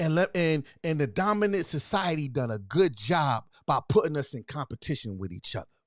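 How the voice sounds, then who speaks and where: A loud, shouting man at a fairly quick pace, animated in tone with very wide pitch swings and hardly any pauses, in a dry, close sound with no echo on a very clean recording with a silent background. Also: fairly high pitch for a man. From US Northeast, Philadelphia. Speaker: livestream host. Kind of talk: livestream talk to viewers. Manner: yelling, loud; repetitive, animated.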